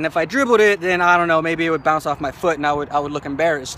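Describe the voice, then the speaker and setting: There is noticeable background noise. Over it, a man speaks with a high pitch. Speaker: motivational vlogger. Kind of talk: motivational talk. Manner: fast; halting, many fillers and repeats.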